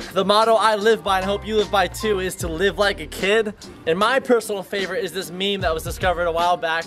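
Over clear music in the background, a man with a high voice speaks at a very fast pace with fairly even intonation. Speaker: vlogger. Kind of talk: casual vlog chat. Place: garden. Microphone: phone near.

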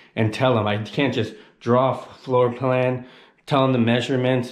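A man at a moderate pace, with audible room echo over a quiet background. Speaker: travel vlogger. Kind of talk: casual vlog chat. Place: home room. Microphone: phone near.

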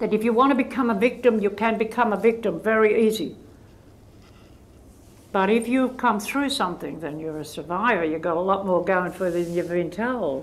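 A woman with an Australian accent, at a fairly quick pace, with ordinary pitch variation. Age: 80s+. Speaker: author and volunteer counsellor. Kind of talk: interview answer. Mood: firm, earnest. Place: hall. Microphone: lapel.

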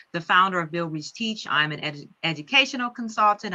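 Against a quiet background, a woman talks with a bright, sharp tone and lively intonation. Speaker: trainer. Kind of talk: webinar presentation. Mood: warm, enthusiastic. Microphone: webcam.

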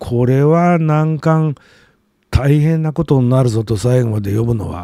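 His intonation is lively. The man sounds somewhat breathy. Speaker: literature commentator and blogger. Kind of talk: solo video monologue. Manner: halting, many filler words.

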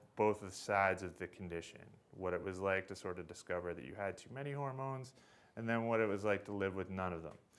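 Here a man talks in a fairly low pitch with ordinary pitch variation. His is an unremarkable speaking voice. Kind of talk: talk introducing a reading. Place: hall. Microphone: podium.

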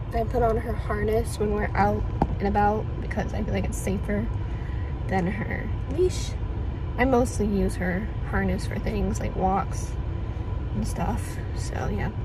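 Over loud background noise, a woman speaks at a fairly slow pace with long, frequent pauses, the sound dry with no echo. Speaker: vlogger. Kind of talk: casual vlog chat. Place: car. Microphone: phone near.

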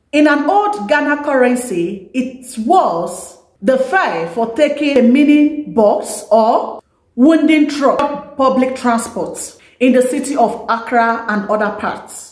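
A woman's high-pitched voice with lively intonation at a very slow pace, with audible room echo over a quiet background. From Nigeria. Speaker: YouTuber; vlogger. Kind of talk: vlog talk to camera. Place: home room.

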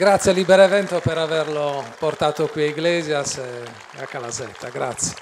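Over crowd noise in the background, the speaker moves at a moderate pace with ordinary pitch variation and big swings in loudness. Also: man, fairly high pitch for a man. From Sardinia. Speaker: journalist moderator. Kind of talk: onstage interview. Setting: stage with audience. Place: stage. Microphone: handheld.

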